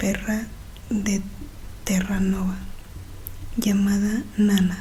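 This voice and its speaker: Soft-spoken woman at medium pitch, gentle in tone, with monotone, flat intonation and a very slow pace amid noticeable background noise. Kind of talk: audiobook-style reading of a classic novel. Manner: soft-spoken, gentle.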